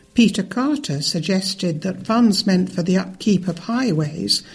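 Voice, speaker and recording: Her voice is somewhat breathy, medium in pitch for a woman, with ordinary pitch variation. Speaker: news reader. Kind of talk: news reading.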